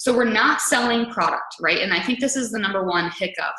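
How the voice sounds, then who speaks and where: A fairly quick pace with audible room echo. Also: woman. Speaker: fitness coach and webinar host. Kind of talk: webinar training talk. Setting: online webinar. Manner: fast.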